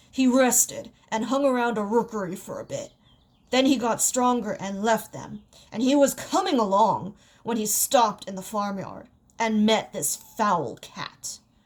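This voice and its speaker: Using a put-on character voice, a woman sounds raspy at a fairly high pitch. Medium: read story. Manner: hearty, blunt.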